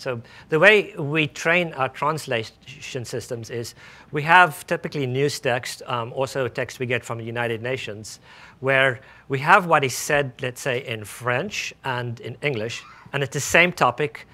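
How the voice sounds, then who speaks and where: A man with a South African accent, bright and sharp in tone, at a medium pitch with ordinary variation, a moderate pace, and a very clean recording over a silent background. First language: Afrikaans. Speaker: speech recognition research scientist. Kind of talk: tech demo presentation. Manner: halting, many fillers.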